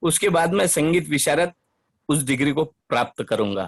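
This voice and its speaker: High-pitched for a man, his voice carries lively intonation. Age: 60s. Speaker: retired bank cashier, participant. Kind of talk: prepared personal declaration. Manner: formal.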